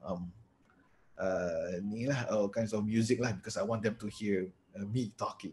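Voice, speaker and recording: Man with a Malaysian accent, somewhat breathy, at a moderate pace. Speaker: lecturer giving a webinar. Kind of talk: webinar Q&A.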